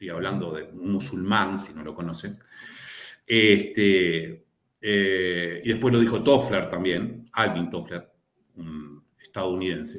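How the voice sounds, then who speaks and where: Very deep and low, a man's voice moves at a very slow pace. Its loudness swings widely. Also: ordinary pitch variation. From Río de la Plata region (Argentina/Uruguay). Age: old. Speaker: lawyer and law lecturer. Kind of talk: panel discussion.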